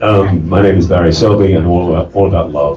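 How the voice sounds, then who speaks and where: A man with an English accent speaks at a very fast pace and with fairly even intonation. Noticeable background noise runs behind him. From England. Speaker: relationship coach. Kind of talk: panel self-introduction.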